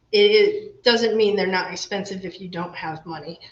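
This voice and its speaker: Clear background noise behind a female speaker's moderate pace. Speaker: home repair instructor. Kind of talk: virtual workshop tutorial. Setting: video livestream workshop.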